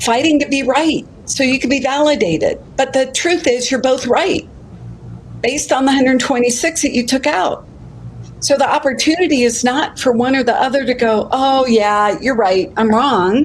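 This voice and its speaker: Noticeable background noise sits behind a woman with a high voice. She keeps a moderate pace and very even loudness. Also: ordinary pitch variation. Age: 60s. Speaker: life coach. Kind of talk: casual chat. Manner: animated.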